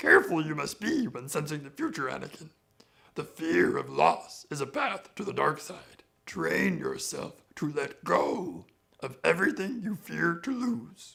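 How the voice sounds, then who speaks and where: A man puts on a guttural character voice and speaks at a moderate pace. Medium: tutorial demo.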